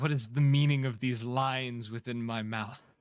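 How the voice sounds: A man puts on a booming character voice at medium pitch and a moderate pace.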